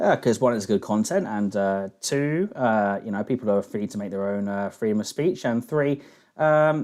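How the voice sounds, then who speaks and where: With a London accent, a man talks at a moderate pace in a fairly low voice with ordinary pitch variation. The background is quiet. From England, London. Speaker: live stream host taking callers. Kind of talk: casual call-in chat.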